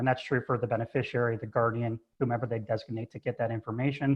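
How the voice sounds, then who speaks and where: A man speaks at a fairly quick pace and medium pitch. His intonation is fairly even. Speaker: trust advisor. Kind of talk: webinar presentation. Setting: video call from home office. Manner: loud.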